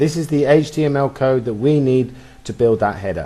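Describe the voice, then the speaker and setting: It is a plain, everyday voice, a man at medium pitch talking at a moderate pace with ordinary pitch variation. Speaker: web design tutor. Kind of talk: screen-recorded coding tutorial. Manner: casual, chatty.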